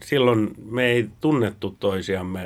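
The man's voice sits at a medium pitch. He speaks at a very slow pace. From Finland. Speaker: podcast host. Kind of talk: casual chat.

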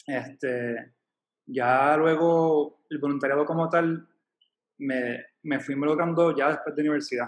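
This man has an unremarkable speaking voice, pitched fairly high. He speaks fairly slowly with fairly even intonation. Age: 30s. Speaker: volunteer. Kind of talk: casual chat.

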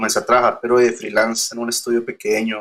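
A man of medium pitch at a fairly quick pace, bright, sharp tone throughout. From Colombia, Girardot. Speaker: industrial designer and poster artist. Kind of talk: interview. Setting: remote call.

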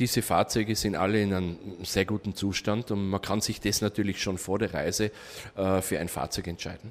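A man with a normal speaking voice talks at a moderate pace in a fairly low pitch with fairly even intonation, recorded very cleanly against a silent background. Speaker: tour operator. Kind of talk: interview.

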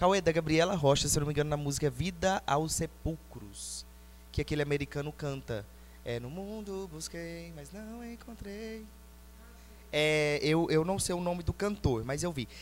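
This man talks at a fairly slow pace. His volume rises and falls in big swings. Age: 20s. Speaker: music school marketing host. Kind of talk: casual interview chat.

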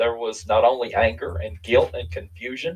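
A somewhat breathy man's voice in an Appalachian accent, medium in pitch with very wide pitch swings, at a moderate pace. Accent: Appalachian Kentucky. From US South, Eastern Kentucky. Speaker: bereaved father. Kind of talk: testimony.

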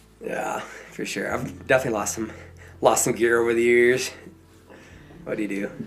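Through noticeable background noise and audible room echo, a man talks at a fairly quick pace in a monotone, flat intonation, with long, frequent pauses. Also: medium pitch for a man. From southern Idaho. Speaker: professional climber and songwriter. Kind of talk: interview.

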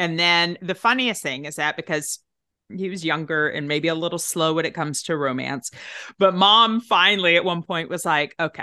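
Against a quiet background, a woman with a Tennessee accent speaks with a fairly low voice and a bright, sharp tone. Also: ordinary pitch variation, moderate pace. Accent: Southern US, Tennessee. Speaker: actress, writer and podcast producer. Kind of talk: casual chat.

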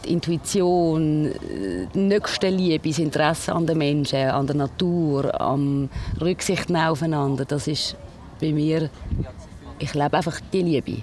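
Very deep and low-pitched, a woman talks at a fairly slow pace with long, frequent pauses, very even loudness and fairly even intonation. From Switzerland, Basel-Land (Pratteln). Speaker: radio presenter and nurse, runs a culture ship. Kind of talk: interview.

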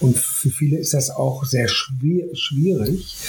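Very slow speech with ordinary pitch variation and noticeable background noise. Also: man. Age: 50s. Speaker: artist and youth project founder. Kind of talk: interview.

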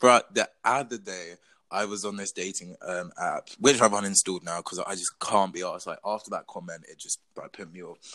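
Man with a British accent at a fairly quick pace, with big swings in loudness. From England. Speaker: podcast co-host. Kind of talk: casual chat.

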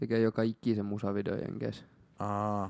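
Monotone and flat, a man with a fairly low voice and a dark, mellow tone speaks at a moderate pace. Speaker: podcast co-host. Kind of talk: casual chat.

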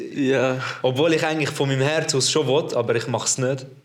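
This man's voice sits at a fairly high pitch, and his pace is fairly quick. Noticeable background noise runs under the recording. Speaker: podcast host. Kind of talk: casual chat. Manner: animated, lots of laughter.

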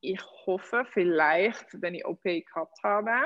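A woman speaks at a very slow pace. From Netherlands. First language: Dutch (speaking German). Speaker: pole dance athlete and trainer. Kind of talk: interview.

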